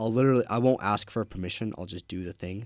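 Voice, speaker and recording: A man talks at medium pitch. His pitch varies in an ordinary way. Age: young. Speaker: young entrepreneur, window cleaning business owner. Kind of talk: casual chat. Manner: casual, filler-heavy.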